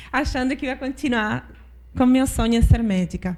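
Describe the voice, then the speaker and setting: A woman speaks at a moderate pace in a somewhat breathy voice with a dark, mellow tone. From Argentina, interior. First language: Spanish (speaking Portuguese). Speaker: finance executive. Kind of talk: panel discussion. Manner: halting, with false starts.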